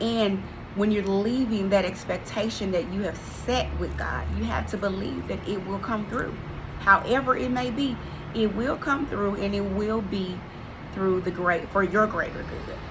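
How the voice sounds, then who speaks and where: Amid audible room echo and noticeable background noise, a woman with a medium pitch speaks at a fairly slow pace with ordinary pitch variation. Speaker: faith vlogger. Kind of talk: inspirational faith talk. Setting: pre-recorded video. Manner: earnest.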